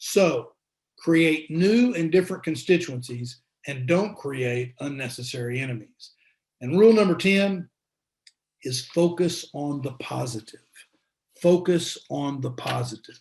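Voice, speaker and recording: A man with an American accent at a fairly high pitch and fairly slow pace, with lively intonation and long, frequent pauses. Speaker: former politician and school dean. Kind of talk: talk to a luncheon group. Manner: repeats words, hesitant fillers.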